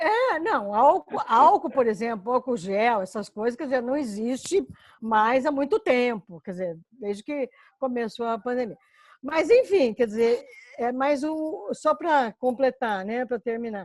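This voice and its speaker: Recorded with a dry, close sound and no echo, a woman with a high pitch speaks at a fairly slow pace with lively intonation. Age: 60s. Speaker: course participant. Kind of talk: casual chat. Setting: video call.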